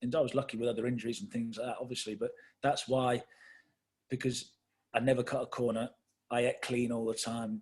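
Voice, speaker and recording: At a fairly quick pace, a man with an English accent speaks at medium pitch in a somewhat breathy voice, with fairly even intonation and long, frequent pauses. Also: very clean recording, silent background. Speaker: football manager. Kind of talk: interview.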